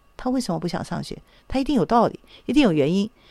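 On a very clean recording with a silent background, a woman's fairly high voice swings very widely in pitch. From Taiwan. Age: 60s. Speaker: psychological counselor. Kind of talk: radio interview.

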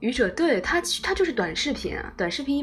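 A woman talks at a high pitch with very wide pitch swings. Her pace is fairly quick, and there is noticeable background noise. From China, Anhui. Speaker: fan club radio host. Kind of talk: live-stream chat. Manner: relaxed; animated.

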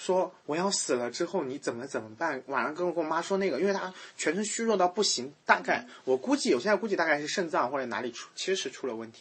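A man talks very fast with hardly any pauses. His high voice swings very widely in pitch. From rural China. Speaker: podcast host. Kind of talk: casual chat.

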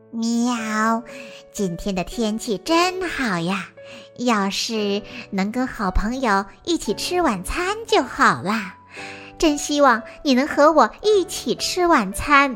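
Putting on a strained character voice, a woman speaks fairly slowly at a fairly high pitch while clear music plays in the background. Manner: sweet, fake-nice.

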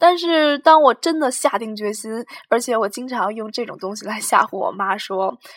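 A woman speaks with lively intonation. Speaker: podcast host, university student. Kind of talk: casual solo monologue. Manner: hesitant, many fillers.

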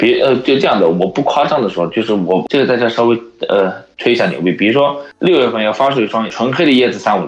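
A man at a very fast pace with lively intonation, over noticeable background noise. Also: medium pitch for a man. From China. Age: 30s. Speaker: sneaker shop owner. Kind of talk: casual chat.

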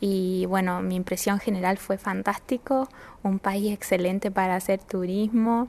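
Here is a plain, everyday voice: a woman at a medium pitch, speaking at a fairly slow pace with fairly even intonation and very even loudness. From northern Chile, La Serena. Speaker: university student. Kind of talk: interview.

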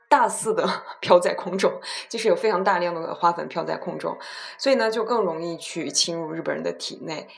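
Noticeable background noise runs throughout. A woman's speech moves at a moderate pace. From China. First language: Chinese (speaking Japanese). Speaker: podcast host. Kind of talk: bilingual casual talk. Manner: halting, many fillers.

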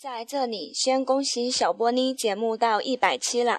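A fairly even intonation comes through a dry, close sound with no echo over a quiet background. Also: woman. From Handan, Hebei, China. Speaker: listener, fan. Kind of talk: recorded listener message, reading prepared text.

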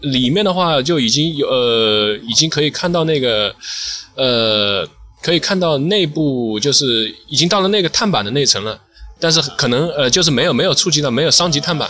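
Someone talks at a fairly quick pace with lively intonation amid noticeable background noise. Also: man, fairly high pitch for a man. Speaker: sneaker restorer. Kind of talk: casual chat. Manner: hesitant.

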